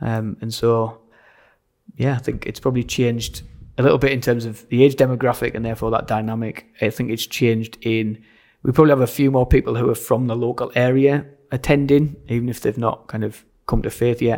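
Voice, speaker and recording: In a very clean recording with a silent background, a man with a medium pitch talks at a fairly quick pace in a monotone, flat intonation. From Sunderland, north-east England. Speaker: church pastor. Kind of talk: casual interview chat. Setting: church side hall, in person.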